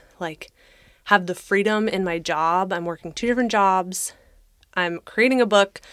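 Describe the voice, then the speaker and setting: In a plain, everyday voice, the speaker goes at a fairly slow pace with ordinary pitch variation. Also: woman. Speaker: podcast co-host. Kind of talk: casual chat.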